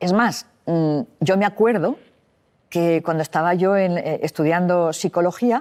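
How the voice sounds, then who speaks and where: At a fairly slow pace, a woman speaks at a medium pitch with ordinary pitch variation on a very clean recording with a silent background. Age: 60s. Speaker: psychologist. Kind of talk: interview.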